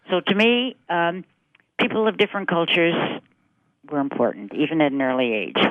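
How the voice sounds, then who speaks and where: Very wide pitch swings and long, frequent pauses mark this voice with an American accent, its loudness staying very even. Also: woman, fairly low pitch for a woman. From US Midwest, Chicago. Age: 80s+. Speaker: literacy organization founder. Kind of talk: interview.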